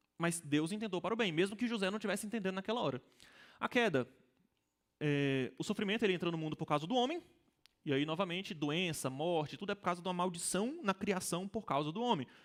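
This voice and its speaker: Talking at a very fast pace, a high-pitched man uses lively intonation, broken by long, frequent pauses. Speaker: Sunday school teacher. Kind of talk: lecture.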